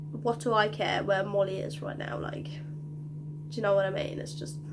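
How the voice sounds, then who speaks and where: Her voice is pitched very deep and low for a woman. The room echo can be heard around it. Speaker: youtuber. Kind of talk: casual vlog chat. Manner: hesitant, filler-heavy.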